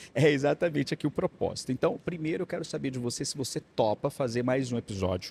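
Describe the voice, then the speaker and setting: Delivered at a very fast pace with hardly any pauses, the somewhat breathy voice has a dry, close sound with no echo. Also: man, fairly high pitch for a man, ordinary pitch variation. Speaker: podcast host. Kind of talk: interview.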